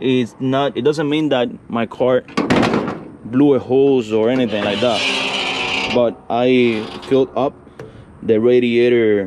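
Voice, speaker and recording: A man with a Spanish accent, medium pitch and fairly even intonation, over noticeable background noise. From Cuba. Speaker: classic car YouTuber. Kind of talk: casual vlog walkthrough. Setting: outdoors.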